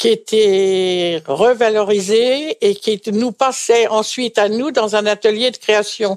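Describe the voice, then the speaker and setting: A woman talks at a very slow pace with a fairly high pitch and ordinary pitch variation. The sound is dry and close, with no echo. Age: 80s+. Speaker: retired seamstress. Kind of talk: interview testimony. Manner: hesitant.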